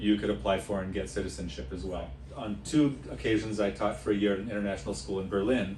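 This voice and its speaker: A man talks very fast at a fairly low pitch, with very wide pitch swings and vocal fry. Room echo is audible. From United States, Latvian-American family. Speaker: tour leader, former teacher. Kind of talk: casual self-introduction talk. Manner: halting, many fillers.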